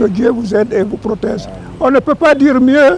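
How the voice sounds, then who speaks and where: A man talks at a fairly slow pace with ordinary pitch variation. There is noticeable background noise behind him. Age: 80s+. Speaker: war veteran. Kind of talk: ceremonial speech.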